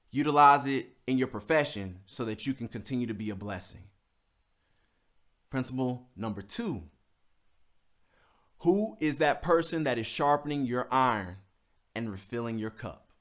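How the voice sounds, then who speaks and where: A man with a medium-pitched voice speaks in an animated tone with lively intonation, a moderate pace and long, frequent pauses. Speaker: motivational speaker. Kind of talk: motivational talk.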